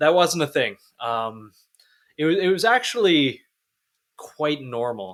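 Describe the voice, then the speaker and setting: The man's voice sits fairly high. It moves in very wide pitch swings. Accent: slight Canadian. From Canada. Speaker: podcast host. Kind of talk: casual chat.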